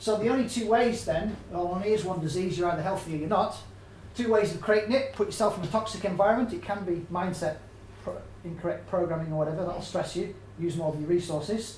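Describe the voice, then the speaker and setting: Speaking at a fairly quick pace with an English accent, a man uses a high pitch with ordinary pitch variation, and audible room echo surrounds him. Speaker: health and nutrition speaker. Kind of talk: public talk. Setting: stage with audience. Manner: fast; animated.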